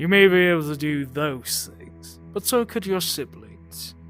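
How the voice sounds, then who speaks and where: Putting on a character voice, a man speaks at a fairly slow pace in a fairly high pitch while clear music plays in the background. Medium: audio drama. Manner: scornful, mocking.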